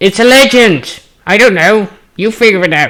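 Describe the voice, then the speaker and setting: This is a put-on character voice at a fairly high pitch. It moves at a moderate pace. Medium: actual play. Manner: excitable, repetitive, fussy.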